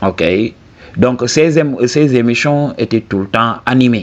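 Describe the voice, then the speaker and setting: Speaking in a Senegalese accent, a man uses a medium pitch and a very slow pace. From southern Senegal. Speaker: YouTube commentator. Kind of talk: video commentary monologue. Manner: casual, frequent 'ok?' tags.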